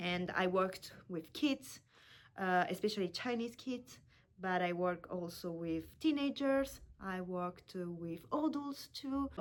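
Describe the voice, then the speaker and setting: Fairly slow speech in an Italian accent. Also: woman, medium pitch for a woman, lively intonation. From Italy. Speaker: language teacher. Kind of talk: self-introduction video. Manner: halting.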